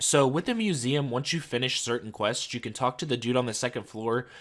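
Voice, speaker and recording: The speaker is a man with a medium pitch. He talks at a very fast pace with fairly even intonation. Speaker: gaming youtuber. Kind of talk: gameplay voiceover commentary. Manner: casual, with filler uhs.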